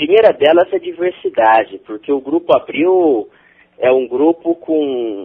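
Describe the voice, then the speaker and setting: Here a man talks with a fairly high pitch and lively intonation. His pace is fairly slow. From interior of São Paulo state, Brazil. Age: 20s. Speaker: corporate trainee, electrical engineer. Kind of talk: interview.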